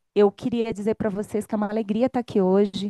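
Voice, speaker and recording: Against a quiet background, a woman with a Minas Gerais accent speaks in a dark, mellow tone, the sound dry and close with no echo. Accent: Minas Gerais (mineiro). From Brazil, Minas Gerais (Belo Horizonte). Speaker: speaker at union event. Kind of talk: opening speech.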